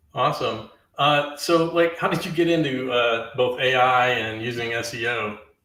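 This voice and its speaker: A man's moderately paced speech, with ordinary pitch variation, comes through with audible room echo. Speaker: live stream host. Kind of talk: interview. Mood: friendly, relaxed. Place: home room.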